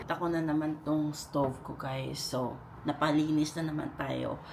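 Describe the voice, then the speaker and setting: A woman's very deep, low-pitched voice with vocal fry. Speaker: vlogger. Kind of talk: casual vlog narration. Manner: casual, chatty.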